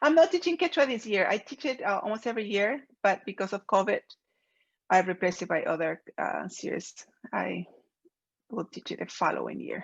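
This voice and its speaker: A woman with a Peruvian accent speaks at a fairly quick pace. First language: Spanish. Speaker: professor. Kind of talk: lecture. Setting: video call.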